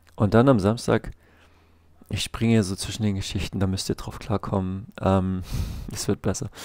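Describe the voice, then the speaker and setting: At a moderate pace, the speech runs with fairly even intonation and long, frequent pauses, in a dry sound with no echo over a quiet background. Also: man, fairly low pitch for a man. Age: 30s. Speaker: vlogger, street musician and comic artist; comic artist vlogger. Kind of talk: casual vlog monologue; casual vlog chat. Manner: hesitant, many filler sounds. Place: home room. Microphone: headset.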